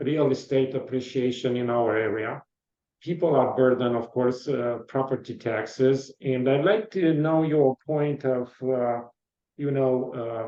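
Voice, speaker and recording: In an Eastern European accent, a man speaks fairly slowly at a medium pitch. His pitch moves by ordinary amounts. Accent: foreign accent, Eastern European. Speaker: podcast interviewer. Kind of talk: interview.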